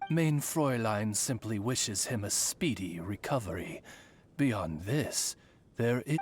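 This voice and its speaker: A put-on character voice, low in pitch and fairly slow, with music in the background. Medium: video game. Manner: formal, eloquent, polite.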